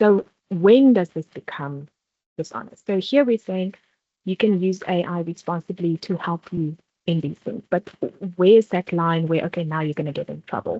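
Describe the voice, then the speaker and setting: Here a woman speaks in a South African accent at a moderate pace. Her pitch is fairly low, with ordinary variation. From South Africa, Vaal Triangle (Free State). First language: not English (South African language). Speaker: workshop presenter. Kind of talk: workshop presentation.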